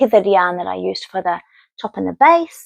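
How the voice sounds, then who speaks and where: A woman's voice in a dry, close sound with no echo. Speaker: knitting vlogger. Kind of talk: casual chat.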